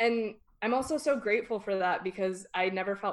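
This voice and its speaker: A woman speaks with a Californian accent. Her pace is fairly slow. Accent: Californian Valley. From Northern California. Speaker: podcast guest. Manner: casual, uses 'like' a lot.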